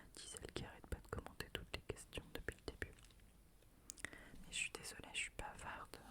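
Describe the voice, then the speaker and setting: A woman whispers at a moderate pace, with long, frequent pauses and big swings in loudness. Noticeable background noise can be heard. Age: 20s. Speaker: ASMR creator. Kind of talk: ASMR question game, casual talk to camera. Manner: friendly, playful, chatty, laughing.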